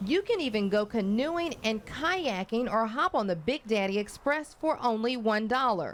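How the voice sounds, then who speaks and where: A woman speaks at a moderate pace with a fairly high pitch, very wide pitch swings, and very even loudness. She hardly pauses, and music plays in the background. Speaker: news anchor. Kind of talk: TV news feature report.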